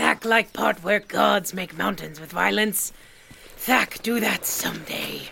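Putting on a character voice, a man speaks slowly at a high pitch, his bright, sharp tone edged with vocal fry and showing ordinary pitch variation.

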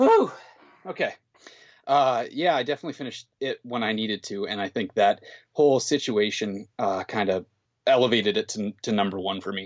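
This man has a western Canadian accent and a medium pitch with ordinary pitch variation. He talks at a fairly quick pace. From northern Alberta, Canada. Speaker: book collector. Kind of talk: casual chat. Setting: remote call.

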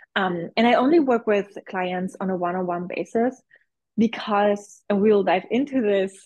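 A woman speaks at a fairly slow pace in a normal speaking voice. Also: medium pitch for a woman, ordinary pitch variation. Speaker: visibility coach and business mentor. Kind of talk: casual interview.

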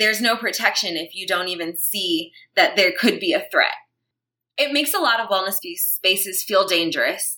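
Lively intonation and a bright, sharp tone from a woman with an American accent at a moderate pace. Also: medium pitch for a woman. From Brooklyn, New York. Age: 30s. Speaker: yoga teacher and activist. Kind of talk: interview.

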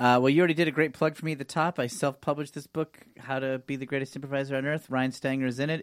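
At a very fast pace with hardly any pauses, a man talks in a fairly high, monotone, flat voice, the sound dry and close with no echo in a very clean recording with a silent background. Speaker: improv comedian and actor. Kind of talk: casual chat. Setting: studio. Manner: relaxed.

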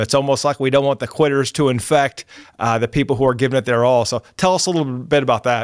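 This is a man with an unremarkable speaking voice, medium in pitch with ordinary variation, at a fairly quick pace. The recording is very clean with a silent background, and the sound is dry and close with no echo. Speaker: podcast host. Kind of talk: interview with scripted intro.

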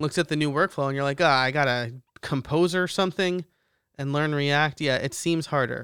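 The recording is very clean, with a silent background. A man speaks in a plain, everyday voice at a moderate pace, with ordinary pitch variation. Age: 30s. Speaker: podcast host. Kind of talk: solo news commentary podcast.

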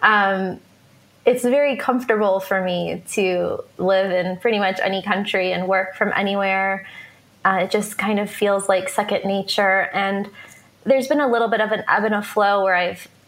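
A woman in an American accent with an ordinary speaking voice, medium pitch, fairly even intonation and a moderate pace. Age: 30s. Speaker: digital nomad entrepreneur. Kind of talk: interview.

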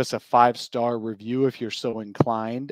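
Recorded with a dry, close sound and no echo, a man with a plain, everyday voice talks at a moderate pace over a quiet background. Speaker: podcast host. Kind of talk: casual sports talk podcast. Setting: audio-only podcast.

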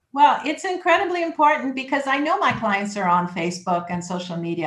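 A woman talks with a Canadian accent. Her voice is fairly high and somewhat breathy. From Canada (Toronto). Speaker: immigration lawyer. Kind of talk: interview.

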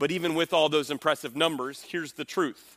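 The tone is bright, sharp and animated, at a fairly quick pace with ordinary pitch variation. The recording is very clean with a silent background. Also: man. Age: 40s. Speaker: pastor and podcast host. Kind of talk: sermon.

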